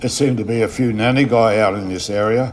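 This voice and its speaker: Noticeable background noise sits behind a man with an Australian accent. He speaks at a fairly quick pace and medium pitch, with fairly even intonation. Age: 70s. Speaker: fishing vlogger. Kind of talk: casual vlog narration. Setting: outdoors on a boat.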